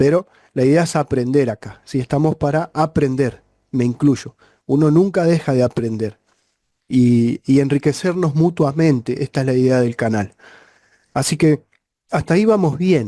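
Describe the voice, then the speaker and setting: Dry and close with no echo, a man's fairly high voice has a dark, mellow tone, a moderate pace and ordinary pitch variation. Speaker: refrigeration and electricity teacher. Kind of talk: tutorial.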